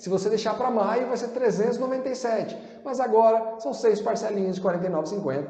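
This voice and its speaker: Noticeable background noise and audible room echo surround this man as he speaks. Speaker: sales trainer. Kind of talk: sales pitch. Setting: online class video.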